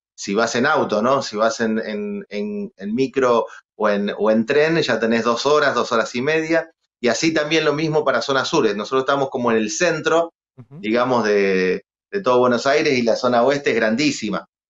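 The background is quiet as a man speaks at a moderate pace. His pitch is medium with ordinary variation. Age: 40s. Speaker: guest. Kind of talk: casual interview. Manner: halting, many repetitions. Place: studio. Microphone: video call.

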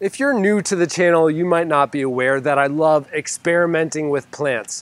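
The delivery moves at a moderate pace with ordinary pitch variation, and the sound is dry with no echo. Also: man. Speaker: gardening channel host. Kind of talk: casual vlog chat. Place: garden. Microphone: lapel.

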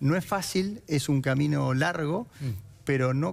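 This man's intonation is lively. His pitch sits fairly high. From Argentina, Santa Fe. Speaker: politician. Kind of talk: political debate. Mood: calm, persuasive, defending policy. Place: studio. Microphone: headset.

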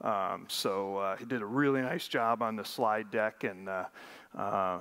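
A man with a plain, everyday voice speaks at a moderate pace in a fairly low pitch, with ordinary pitch variation. The background is quiet. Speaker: conference presenter. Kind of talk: lecture. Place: hall.

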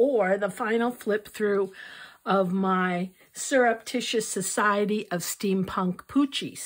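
It is an unforced reading voice.

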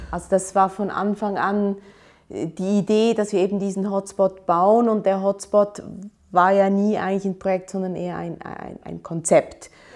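A woman at a moderate pace, monotone and flat in intonation but with big swings in loudness, over a quiet background. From Switzerland, Aarau; Switzerland. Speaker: urban planner and architecture professor; architecture professor. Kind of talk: interview monologue. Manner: hesitant, many fillers. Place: office. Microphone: lapel.

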